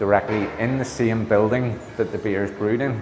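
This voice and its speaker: In a room with audible echo and light background noise, a man with a fairly low pitch talks at a moderate pace with fairly even intonation. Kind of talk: interview answer. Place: hall. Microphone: lapel.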